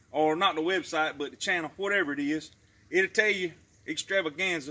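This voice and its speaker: A man's high, bright, sharp voice in a Southern US accent, with fairly even intonation and a fairly quick pace. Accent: Southern American, rural. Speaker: YouTube creator, promoting wife's Pampered Chef party. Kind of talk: casual talk to camera, product promotion. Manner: folksy, jokey, chatty.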